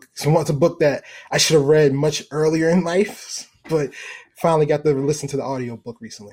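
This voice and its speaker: A man talks at a fairly quick pace with a fairly high pitch and fairly even intonation. His tone is dark, mellow and somewhat breathy, with big swings in loudness. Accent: American. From US, Baltimore, Maryland. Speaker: venture capital fund manager. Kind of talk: interview.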